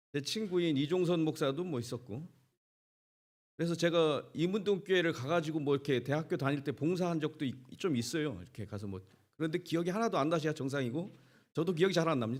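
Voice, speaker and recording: Talking at a very fast pace, a man with a Chungcheong accent has a fairly high pitch. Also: ordinary pitch variation. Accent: Chungcheong dialect, unchanged. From Korea, Chungcheong region. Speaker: pastor, guest speaker. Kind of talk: sermon. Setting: church, revival meeting with congregation.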